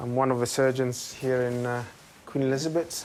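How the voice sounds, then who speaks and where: Noticeable background noise sits behind the speaker. A man with an Italian accent talks at a moderate pace and medium pitch. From Italy. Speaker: surgeon. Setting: hospital.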